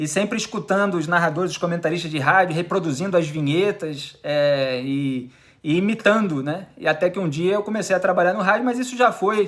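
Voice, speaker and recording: Speaking in a Carioca accent, a man with a high pitch talks at a fairly quick pace in an animated tone, with ordinary pitch variation and hardly any pauses. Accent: carioca (Rio de Janeiro) Portuguese. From Rio de Janeiro, Brazil (South Zone of the city). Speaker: journalist and columnist. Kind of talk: radio interview.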